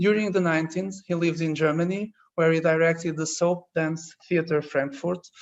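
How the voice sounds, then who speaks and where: The speaker talks with a Portuguese accent at a moderate pace, with hardly any pauses. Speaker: architecture teacher moderating a talk. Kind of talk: formal introduction of guests.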